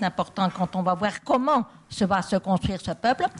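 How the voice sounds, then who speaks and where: Over a quiet background, a woman's somewhat breathy, medium-pitched voice moves at a moderate pace with ordinary pitch variation. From Belgium. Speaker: political philosopher. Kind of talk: public debate. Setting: stage with audience. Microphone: handheld mic held close.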